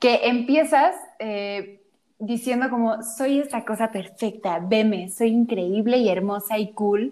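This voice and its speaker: A woman speaks very slowly in a fairly high voice with a dark, mellow tone. Her pitch varies in an ordinary way. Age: 20s. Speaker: podcast co-host. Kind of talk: casual chat.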